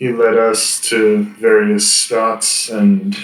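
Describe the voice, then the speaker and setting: In a put-on character voice at a medium pitch, a man speaks at a very slow pace, with a slight echo on the sound. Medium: actual play. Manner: formal, archaic phrasing; terse, guarded.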